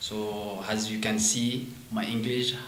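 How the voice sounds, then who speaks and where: With a French accent, a man speaks over noticeable background noise and audible room echo. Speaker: French teacher and MBA student. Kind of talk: interview. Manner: halting.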